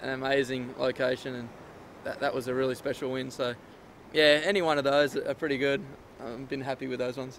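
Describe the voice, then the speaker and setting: A man with an Australian accent, medium pitch, fairly quick pace and fairly even intonation. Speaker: professional surfer. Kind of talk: interview answer. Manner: casual, hesitant.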